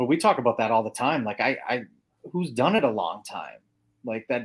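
Clean and silent behind him, the recording captures a man with a plain, everyday voice. He talks at a fairly quick pace and a medium pitch. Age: 40s. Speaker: powerlifting coach. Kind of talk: casual interview chat.

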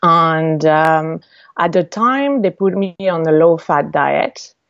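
Speaking very slowly, a woman with a slight French accent uses a fairly low pitch and ordinary pitch variation. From France. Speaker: entrepreneur. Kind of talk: interview. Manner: halting, many fillers.

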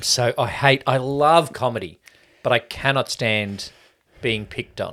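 A fairly slow man with an Australian accent, bright and sharp in tone, at a medium pitch with ordinary pitch variation. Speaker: podcast co-host. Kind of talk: casual chat.

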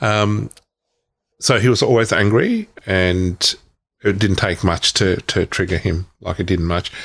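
A man with an Australian accent speaks at a very deep, low pitch. The recording is very clean, with a silent background. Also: fairly even intonation, fairly slow pace. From Victoria, Australia (Myrtleford, Wodonga). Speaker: author and speaker on trauma healing. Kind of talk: interview testimony. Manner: halting.

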